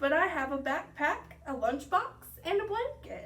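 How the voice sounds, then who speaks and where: A woman's put-on character voice, extremely high-pitched with very wide pitch swings, at a moderate pace over clear background noise. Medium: read story.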